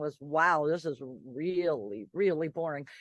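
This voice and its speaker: A woman with a New York accent talks against a quiet background. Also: dry, close sound with no echo. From New York City (the Bronx). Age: 60s. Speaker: artist. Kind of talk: casual chat. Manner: animated.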